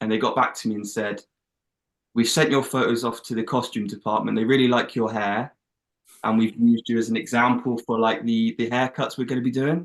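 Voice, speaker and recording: A man talks with an English accent at a fairly quick pace. His intonation is monotone and flat. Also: medium pitch for a man. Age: 20s. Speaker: actor. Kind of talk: casual chat.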